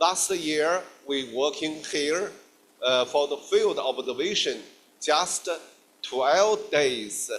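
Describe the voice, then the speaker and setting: A man's fairly high voice at a very slow pace, with ordinary pitch variation and long, frequent pauses. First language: Chinese. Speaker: guest lecturer, geologist. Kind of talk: lecture. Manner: halting.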